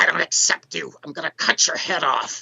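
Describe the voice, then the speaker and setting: In a put-on character voice, the speaker growls in a raspy way at a moderate pace. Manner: menacing.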